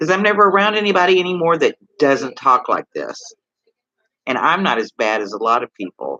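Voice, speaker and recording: With a Texas accent and a bright, sharp tone, a man's voice makes very wide pitch swings in a dry, close sound with no echo. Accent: Texas drawl, moderate. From Texas (Houston, Gulf coast). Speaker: live streamer. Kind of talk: casual live stream chat. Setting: hospital, before surgery. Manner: rambling, halting.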